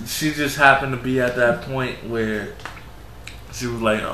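Over noticeable background noise and audible room echo, a man with a medium pitch and an American accent speaks at a moderate pace in an animated tone. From New York. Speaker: podcast host. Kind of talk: casual chat.

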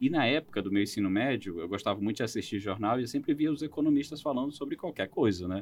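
A man talks at a very fast pace with hardly any pauses, at a medium pitch with lively intonation. The background is quiet. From Roraima, northern Brazil. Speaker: economist. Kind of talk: interview.

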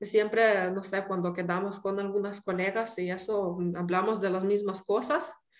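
With an unremarkable speaking voice, a woman talks at a fairly slow pace with hardly any pauses, her medium pitch held in fairly even intonation. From Ukraine. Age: 30s. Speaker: pastry chef. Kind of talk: interview.

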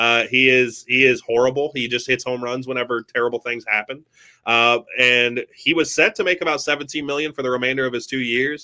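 With an unremarkable speaking voice, a man speaks at a medium pitch and a fairly quick pace with fairly even intonation, in a dry, close sound with no echo. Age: 20s. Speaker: sports podcast host. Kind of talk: casual chat. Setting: live stream.

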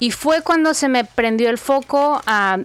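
Her pitch is high and her intonation lively. The woman keeps to a fairly slow pace. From Mexico, Guadalajara. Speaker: personal finance coach, former TV journalist. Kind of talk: interview.

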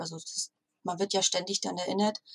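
At a moderate pace, a woman speaks in a somewhat breathy voice, the sound dry and close with no echo. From northern Germany, Stralsund. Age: 40s. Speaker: virtual assistant and copywriter. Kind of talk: interview.

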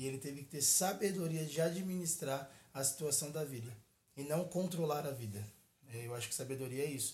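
Somewhat breathy and fairly high for a man, his voice moves at a fairly quick pace with ordinary pitch variation in a room with audible echo. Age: 20s. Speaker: pastor. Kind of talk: casual chat.

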